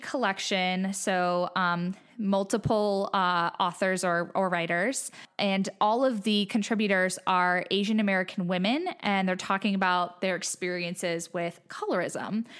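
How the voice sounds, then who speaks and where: In a very clean recording with a silent background, a woman speaks at a medium pitch and a fairly slow pace, with ordinary pitch variation and very even loudness. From Ohio, Cleveland. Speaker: book podcast guest. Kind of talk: casual chat.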